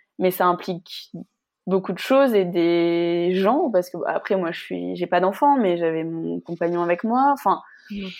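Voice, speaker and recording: Fairly low in pitch with ordinary pitch variation, a woman speaks at a fairly slow pace in a plain, everyday voice. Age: 30s. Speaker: former journalist turned fitness coach. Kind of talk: testimony interview.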